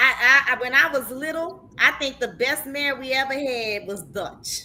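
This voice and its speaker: The voice is raised and projected, with an animated, passionate tone. It moves at a fairly slow pace with ordinary pitch variation. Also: woman. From New Orleans, Louisiana, US South. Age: 50s. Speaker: talk show host. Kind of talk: casual chat. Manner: repeats words, halting starts.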